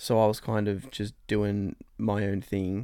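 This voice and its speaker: A man with an Australian accent speaks at a fairly low pitch in a dark, mellow tone, on a very clean recording with a silent background. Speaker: host's boyfriend. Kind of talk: casual chat.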